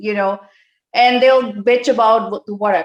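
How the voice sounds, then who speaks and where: Fairly high-pitched speech from a woman, its pitch varying in an ordinary way. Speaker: call participant. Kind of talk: casual chat. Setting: video call. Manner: fast. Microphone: too quiet at first.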